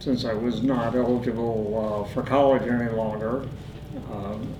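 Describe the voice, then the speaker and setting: Fairly even intonation from a man with a Midwestern US accent, with audible room echo. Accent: US Midwest. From Indiana. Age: 70s. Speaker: war veteran. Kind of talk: interview. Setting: studio. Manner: halting, many filler words.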